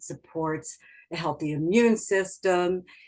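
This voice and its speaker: A woman is speaking. Her pace is fairly slow. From New York suburbs. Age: 70s. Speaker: health products distributor. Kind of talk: interview.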